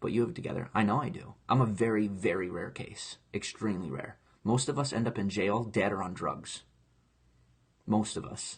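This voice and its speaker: Speaking at a moderate pace, a man sounds somewhat breathy, his fairly low voice showing ordinary pitch variation. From grew up in foster care. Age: 20s. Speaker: online entertainer, live streamer. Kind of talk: casual live stream chat. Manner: animated, impassioned.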